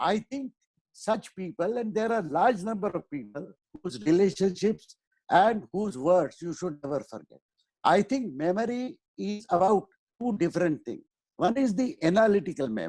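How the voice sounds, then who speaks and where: In a dry, close sound with no echo, a man with a high pitch talks at a moderate pace with lively intonation. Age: 70s. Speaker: professor. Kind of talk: interview.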